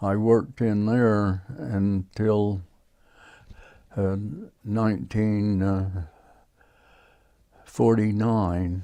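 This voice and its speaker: Speaking very slowly with an American accent, a man leaves long, frequent pauses and uses ordinary pitch variation. The background is quiet. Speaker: retired miner. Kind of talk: oral history interview. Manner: halting, many fillers.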